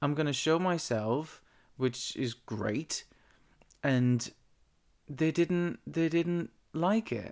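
A man with a Dutch accent at a very slow pace, with lively intonation, in a very clean recording with a silent background. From Netherlands. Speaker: podcast host. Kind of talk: casual monologue. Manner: halting.

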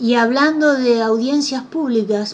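A woman speaks at a very slow pace. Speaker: radio host. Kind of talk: radio interview.

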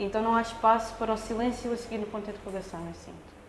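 Very fast speech amid noticeable background noise and audible room echo. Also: woman. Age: 20s. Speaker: dancer and performer. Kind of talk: casual chat. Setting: studio. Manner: halting.

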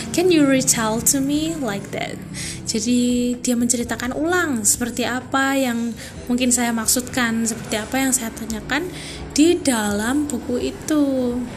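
Music plays behind a woman with a high pitch who speaks at a fairly slow pace with ordinary pitch variation, and room echo is audible. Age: 20s. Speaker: university student. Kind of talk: student podcast monologue. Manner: casual, informal.

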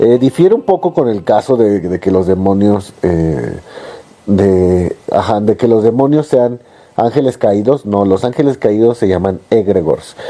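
Noticeable background noise sits behind a man talking fairly slowly. His fairly low voice has lively intonation and very even loudness. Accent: Mexican. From Mexico. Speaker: podcast host. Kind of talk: live-streamed podcast monologue. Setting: live stream on a phone app. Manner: calm, sleep-inducing.

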